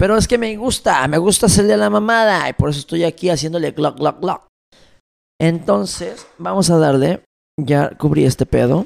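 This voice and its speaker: A man talks at a moderate pace in a fairly high voice. His pitch swings very widely, and the sound is dry and close with no echo. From Mexico, Tijuana. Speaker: podcast host. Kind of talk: casual monologue. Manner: casual, rambling with filler words.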